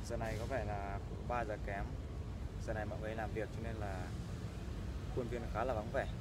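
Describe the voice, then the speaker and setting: Fairly quick speech over loud background noise, with a dry sound and no echo. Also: man. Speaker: vlogger. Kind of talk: casual vlog chat. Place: garden. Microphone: phone near.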